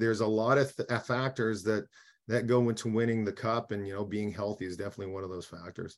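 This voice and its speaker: Against a quiet background, a man speaks at a moderate pace with a Canadian prairie accent. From Saskatchewan, Canada. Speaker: former hockey player, radio analyst. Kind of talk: casual interview. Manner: hesitant, many fillers.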